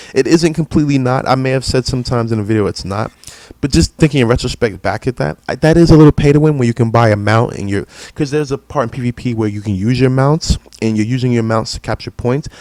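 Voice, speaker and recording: Here a man talks at a very fast pace at medium pitch. His pitch varies in an ordinary way, and the sound is dry and close with no echo. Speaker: gaming streamer. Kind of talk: casual live stream commentary. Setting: live stream.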